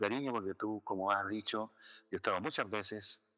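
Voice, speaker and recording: A man with a fairly low pitch and a bright, sharp tone is heard dry and close with no echo, over a quiet background. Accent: Chilean. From Chile, Santiago. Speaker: jurist and philosopher, bioethics scholar. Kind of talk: interview conversation. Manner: hesitant, many fillers.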